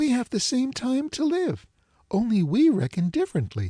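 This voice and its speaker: Using a put-on character voice, a man speaks at a moderate pace with extremely high pitch. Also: very even loudness. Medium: read story. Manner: bright, lively, innocent.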